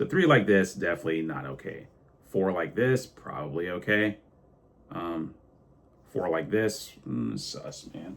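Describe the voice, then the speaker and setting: Very wide pitch swings, big swings in loudness and vocal fry, at a fairly slow pace with long, frequent pauses. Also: man, very deep, low pitch for a man. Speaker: sim racing YouTuber. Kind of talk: hands-on tutorial. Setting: home sim rig. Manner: casual, halting with fillers.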